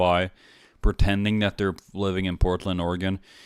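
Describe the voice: A man's low-pitched voice with a clear, smooth tone, moderate pace and fairly even intonation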